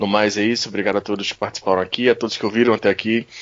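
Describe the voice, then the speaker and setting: A man delivers his words at a very fast pace. His intonation is monotone and flat. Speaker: podcast co-host. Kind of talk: casual podcast chat.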